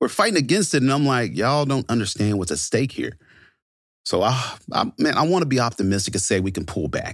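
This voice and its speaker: A man with an American accent and vocal fry speaks at a fairly quick pace with very wide pitch swings, in a very clean recording with a silent background. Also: medium pitch for a man. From US military bases, born Fort Knox, Kentucky. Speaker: police officer and army veteran. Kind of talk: interview storytelling.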